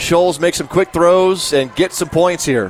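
Showing ordinary pitch variation, a plain, everyday voice talks at a moderate pace. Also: man. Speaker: radio color analyst. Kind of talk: live sports color commentary. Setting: stadium press box, radio broadcast. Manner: relaxed, conversational, measured analysis.

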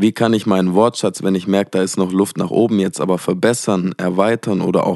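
The voice has a dark, mellow tone and a fairly quick pace, with a dry, close sound and no echo. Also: man. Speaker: podcast host and musician. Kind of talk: solo podcast monologue. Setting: at a desk in front of a microphone. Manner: less energetic than usual.

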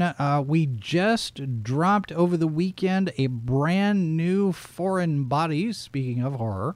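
His pitch high, a man speaks with ordinary pitch variation. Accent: American. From Texas, Dallas area. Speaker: podcast host, former radio DJ. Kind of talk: casual chat. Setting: home studio, streamed live.

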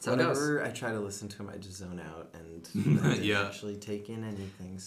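A fairly low-pitched man talks at a fairly quick pace with ordinary pitch variation and big swings in loudness, with noticeable background noise behind him. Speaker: podcast guest. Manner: calm.

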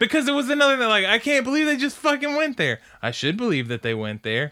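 A man speaks with a raised, projected voice in an enthusiastic, bright, sharp tone, his pitch swinging very widely. The recording is very clean with a silent background. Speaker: anime podcast host. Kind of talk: casual chat, review podcast. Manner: enthusiastic, joking.

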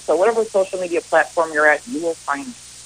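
A woman's voice with ordinary pitch variation, noticeable background noise around it. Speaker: car expert guest. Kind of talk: friendly radio phone interview.

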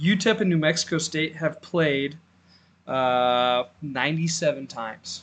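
A man speaks in an unremarkable speaking voice, fairly high-pitched, with ordinary pitch variation. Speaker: podcast host, college football. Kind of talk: casual sports podcast chat.

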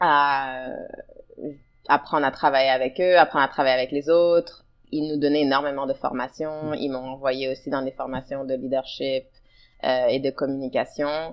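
A woman with a very deep, low pitch, fairly even intonation and long, frequent pauses. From Ottawa, Canada. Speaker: leadership coach. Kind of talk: interview conversation.

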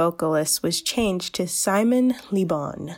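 Over music in the background, the voice has lively intonation and an upbeat, bubbly tone. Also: woman. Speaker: college internet radio host. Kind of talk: radio DJ patter, a chatty college-radio music segment with a sign-off. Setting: college internet radio station podcast. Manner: upbeat, bubbly and conversational, with casual fillers and an eager 'Yay!'; informal and friendly, but sometimes stumbling over names and facts.

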